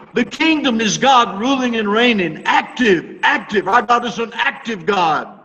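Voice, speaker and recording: A man projects a raised voice at an extremely high pitch with hardly any pauses, over noticeable background noise. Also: ordinary pitch variation, fairly slow pace. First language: English (speaking Spanish). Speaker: Bible teacher. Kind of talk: sermon.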